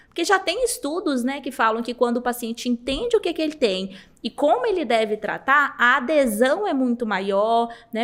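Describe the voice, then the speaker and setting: Her pitch high and swinging very widely, a woman speaks at a fairly quick pace. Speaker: hair transplant doctor. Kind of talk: podcast interview answer. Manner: friendly, warm.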